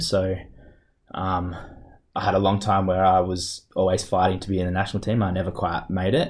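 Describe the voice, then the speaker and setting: Speaking with an Australian accent, a man talks at a very deep, low pitch. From Australia, Perth. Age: 30s. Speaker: wheelchair basketball player. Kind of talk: interview. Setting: office.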